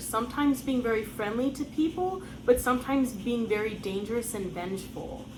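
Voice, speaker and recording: A woman's fairly high voice in an American accent, lively in intonation, with audible room echo. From United States. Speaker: folklore channel host. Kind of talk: scripted narration.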